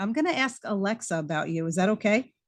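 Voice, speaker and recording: Over music in the background, a woman speaks at a very fast pace with very wide pitch swings. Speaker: talk show host. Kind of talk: interview questions.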